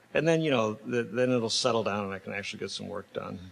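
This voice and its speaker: A man speaking at a very fast pace. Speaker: sculptor. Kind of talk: public lecture. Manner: halting, many fillers.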